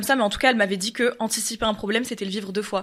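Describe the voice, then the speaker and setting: A woman at a very fast pace, fairly high in pitch, with fairly even intonation. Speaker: podcast guest, performer who does castings. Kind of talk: casual chat.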